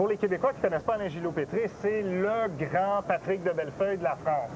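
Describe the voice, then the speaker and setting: Over noticeable background noise, a man talks at a fairly quick pace in a high pitch with ordinary pitch variation. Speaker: weather TV host. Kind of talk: live TV broadcast. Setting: outdoor festival site.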